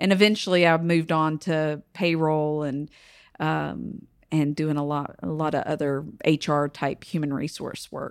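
With a Southern US accent, a woman speaks at a fairly slow pace in a very deep, low pitch with fairly even intonation, on a very clean recording with a silent background. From North Carolina, Kings Mountain. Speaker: congressional candidate, veteran. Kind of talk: interview.

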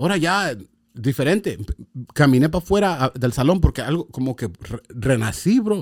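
A man speaks at a moderate pace in a fairly high voice, his pitch swinging very widely. The sound is dry and close, with no echo. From Los Angeles (San Fernando), Mexican-American. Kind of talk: testimony.

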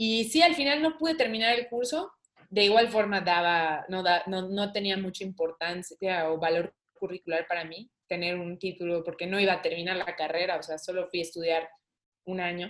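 Her voice is an unremarkable speaking voice, and the woman keeps a moderate pace, medium pitch and ordinary pitch variation. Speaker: saxophonist. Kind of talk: interview conversation.

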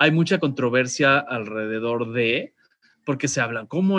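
A man with a Mexican accent at a fairly slow pace, against a quiet background. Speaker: radio host. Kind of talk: casual chat. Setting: video call.

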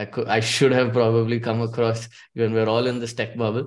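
A man with a plain, everyday voice at a medium pitch talks at a fairly quick pace over a quiet background. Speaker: product manager and community founder. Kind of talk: panel discussion.

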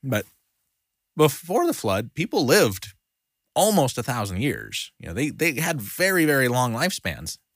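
Medium pitch from a man at a moderate pace, with vocal fry and very wide pitch swings, in a dry, close sound with no echo and a very clean recording with a silent background. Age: 30s. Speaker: Bible study teacher. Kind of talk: Bible study lesson. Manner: halting.

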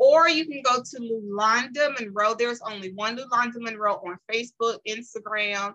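Using a bright, sharp tone and a fairly high pitch, a woman speaks at a moderate pace with hardly any pauses and ordinary pitch variation. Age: 40s. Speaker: businesswoman and motivational speaker. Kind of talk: casual chat.

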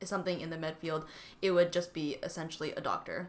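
This woman has a Canadian accent, a fairly low pitch, a bright, sharp tone and fairly even intonation. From Canada, Vancouver BC. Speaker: student podcast co-host. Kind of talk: casual chat.

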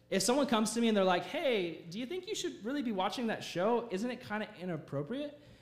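A man's extremely high voice with very wide pitch swings at a very fast pace, amid audible room echo and noticeable background noise. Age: 20s. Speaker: youth pastor. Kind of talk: sermon. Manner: animated.

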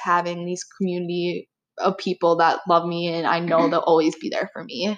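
A normal speaking voice from a woman with an American accent, medium in pitch and at a fairly quick pace. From Wisconsin. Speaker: college student, podcast co-host. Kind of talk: casual chat.

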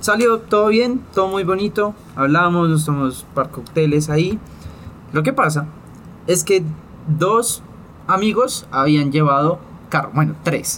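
A man speaks at a fairly slow pace in a high voice with lively intonation, very even loudness, and long, frequent pauses. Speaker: podcast co-host. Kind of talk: casual chat.

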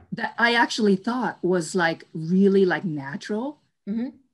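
A woman with an American accent speaks at a fairly slow pace with lively intonation on a very clean recording with a silent background. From New York. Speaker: entrepreneur. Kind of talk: interview. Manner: hesitant, many fillers.

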